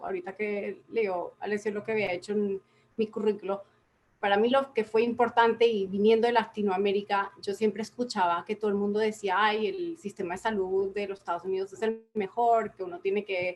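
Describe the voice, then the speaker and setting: Here a woman is speaking at a moderate pace. Her pitch sits in the medium range. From Latin America, various countries. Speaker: public health consultant. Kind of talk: conference talk.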